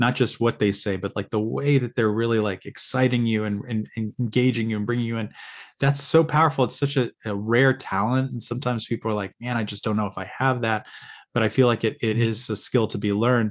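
Using an unremarkable speaking voice, a man talks at medium pitch and a fairly quick pace with fairly even intonation. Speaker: podcast host. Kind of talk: casual interview.

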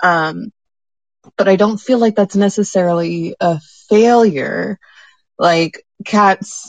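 A woman at a medium pitch, very slow with long, frequent pauses and ordinary pitch variation, in a dry, close sound with no echo. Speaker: artist community member. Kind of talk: casual group discussion. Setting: live audio app room.

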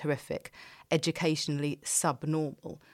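A woman speaks at a moderate pace with a very deep, low voice. The recording is very clean, with a silent background. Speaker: podcast co-host. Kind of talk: casual chat.

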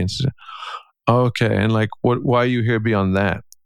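This man has an Irish accent and a medium pitch. He talks at a moderate pace in a flat, monotone way. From Ireland. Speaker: podcast host and coach. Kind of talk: casual chat.

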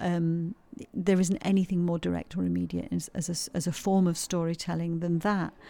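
A dark, mellow tone with a Yorkshire accent. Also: woman. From Yorkshire, England. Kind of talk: interview about her play. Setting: quiet corner at a heritage centre.

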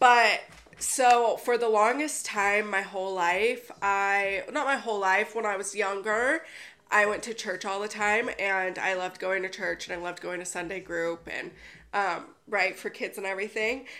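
A woman speaks loudly. Her tone is bright and sharp. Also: medium pitch for a woman, ordinary pitch variation, moderate pace. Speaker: wellness podcaster. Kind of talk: casual monologue. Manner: giggly.

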